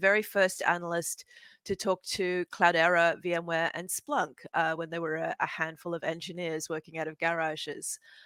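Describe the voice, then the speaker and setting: Speaking fairly quickly with an Australian accent, this woman has a fairly low pitch, a bright, sharp tone and fairly even intonation, captured in a very clean recording with a silent background and a dry, close sound with no echo. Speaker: venture capital fund manager. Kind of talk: panel discussion.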